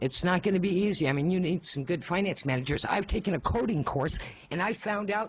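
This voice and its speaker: High-pitched and animated, a man talks at a fairly quick pace with ordinary pitch variation and very even loudness. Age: 60s. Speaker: public hearing speaker. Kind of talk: public testimony.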